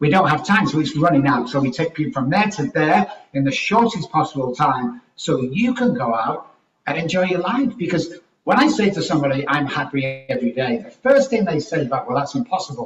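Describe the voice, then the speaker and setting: With an English accent, the speaker moves at a fairly quick pace through very wide pitch swings. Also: man, fairly high pitch for a man. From Manchester, England. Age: 60s. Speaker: life coach and speaker. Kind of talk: podcast interview.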